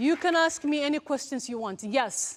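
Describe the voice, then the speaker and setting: Over crowd noise in the background, a woman speaks at a high pitch with very wide pitch swings. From Somalia. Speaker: anti-FGM activist and educator. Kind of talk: school talk to students.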